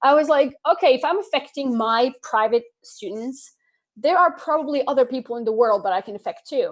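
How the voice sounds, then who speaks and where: High-pitched woman's voice, fairly quick, with lively intonation, big swings in loudness and a very clean recording with a silent background. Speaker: online English teacher and motivational creator. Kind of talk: casual interview. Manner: animated.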